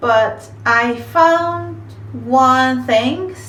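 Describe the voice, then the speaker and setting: Amid noticeable background noise and audible room echo, a woman speaks in a Japanese accent. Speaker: vlogger, office manager. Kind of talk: casual talk to camera. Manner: halting.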